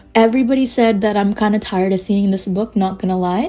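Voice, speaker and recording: With music in the background, the woman's pitch varies in an ordinary way. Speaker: art youtuber. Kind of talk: product review.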